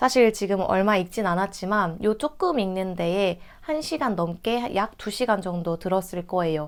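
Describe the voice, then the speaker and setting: At a fairly slow pace with hardly any pauses, a woman speaks in an unremarkable speaking voice at a medium pitch with ordinary pitch variation, on a very clean recording with a silent background. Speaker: book youtuber. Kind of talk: casual book review talk.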